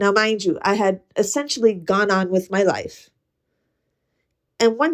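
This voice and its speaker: At a fairly slow pace, a woman talks in a fairly high pitch. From US, Puerto Rican and Ukrainian heritage. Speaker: podcast host. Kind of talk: casual monologue. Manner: conversational, with fillers.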